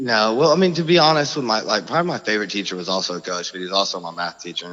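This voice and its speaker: A man with an American accent, ordinary pitch variation, and noticeable background noise. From Oklahoma, US. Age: 30s. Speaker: former restaurant owner. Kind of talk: casual interview chat. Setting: phone call.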